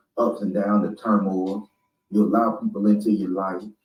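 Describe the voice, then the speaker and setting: A Southern US accent at a moderate pace. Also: man. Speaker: spiritual speaker. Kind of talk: motivational talk. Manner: animated.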